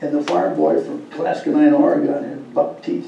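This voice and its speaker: Through audible room echo and noticeable background noise, a man with an Upper Midwest accent talks at a moderate pace. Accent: Upper Midwest American. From Minnesota. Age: 80s+. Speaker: war veteran. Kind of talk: speaking to a school class.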